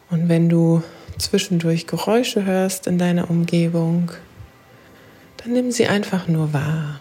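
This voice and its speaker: A woman talks at a very slow pace in a calm, soothing tone, with long, frequent pauses and very even loudness. Her pitch is fairly low with ordinary variation, and there is noticeable background noise. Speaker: podcast host and life coach. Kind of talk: guided meditation. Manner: slow, calm, soothing; gentle, meditative, with long pauses.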